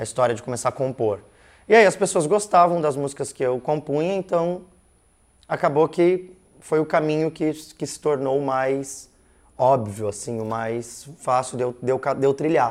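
An ordinary speaking voice belongs to a man with a fairly high pitch. He talks at a moderate pace with ordinary pitch variation. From Curitiba, southern Brazil. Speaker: musician. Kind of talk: casual interview chat.

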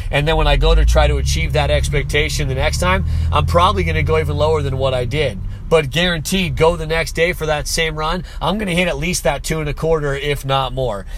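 Noticeable background noise and audible room echo fill the recording. Through it, a man talks very fast. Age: 30s. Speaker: podcast host, online business owner. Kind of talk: motivational monologue. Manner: casual, conversational.

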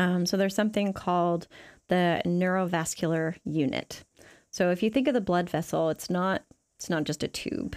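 A woman speaks at a moderate pace with a fairly low pitch and ordinary pitch variation, in an ordinary speaking voice. The recording is very clean, with a silent background. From Canada. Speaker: neuroscientist. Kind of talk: interview, explaining science.

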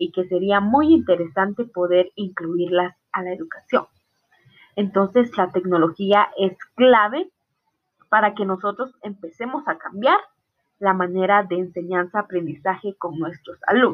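With a Guatemalan accent, a woman speaks at a fairly slow pace and a medium pitch, with ordinary pitch variation. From Guatemala, Totonicapán. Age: 20s. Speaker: student. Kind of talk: class presentation.

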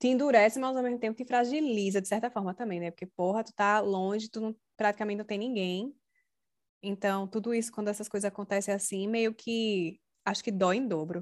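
On a very clean recording with a silent background, a woman speaks at a fairly quick pace in an unremarkable speaking voice with fairly high pitch. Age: 30s. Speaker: podcast host. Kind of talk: casual chat.

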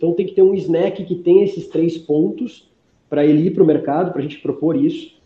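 A man speaks at a fairly quick pace. His pitch sits high. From Brazil, Curitiba. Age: 30s. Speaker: food company founder. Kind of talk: interview.

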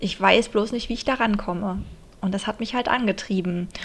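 Here a woman speaks at a fairly high pitch with ordinary pitch variation. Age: 30s. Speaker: podcast host and dance teacher. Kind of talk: casual monologue; scripted inspirational narration.

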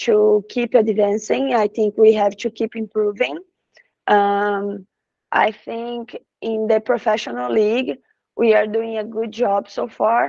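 A woman with a Brazilian accent talks very slowly, her pitch fairly high and her tone dark and mellow. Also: dry, close sound with no echo. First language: Portuguese. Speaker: professional soccer player. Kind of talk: interview in English. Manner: halting, with hesitations.

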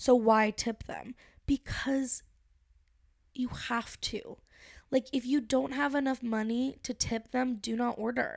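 A woman speaks in a high pitch with monotone, flat intonation. She goes very slowly, with long, frequent pauses. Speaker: podcast host. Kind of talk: casual chat. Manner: playful, casual, swears often.

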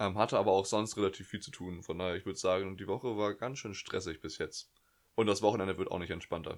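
A man with a fairly low voice talks at a very fast pace with fairly even intonation. The recording is very clean, with a silent background. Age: young. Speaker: podcast co-host, student. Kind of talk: casual chat. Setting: bedroom at home. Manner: hesitant, many fillers.

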